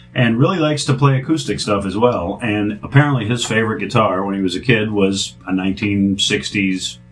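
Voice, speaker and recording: A man's fairly low voice, at a fairly quick pace with lively intonation, over music in the background. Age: 50s. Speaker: guitar restorer. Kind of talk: product demo. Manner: casual.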